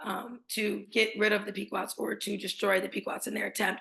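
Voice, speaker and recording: A woman speaks with a fairly high pitch. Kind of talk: webinar presentation. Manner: fast.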